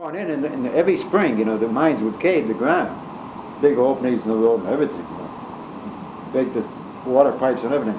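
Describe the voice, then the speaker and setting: Over noticeable background noise, a man with an American accent speaks very fast in a medium pitch with lively intonation. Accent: Scranton Pennsylvania working-class. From Scranton, Pennsylvania. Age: 80s+. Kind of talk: storytelling, casual reminiscence. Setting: home cassette recording, fan noise.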